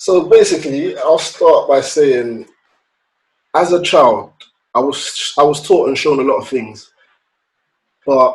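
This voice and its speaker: A man speaks with a London accent. His pace is fairly slow. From London, England. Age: 30s. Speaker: podcast guest. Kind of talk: casual chat.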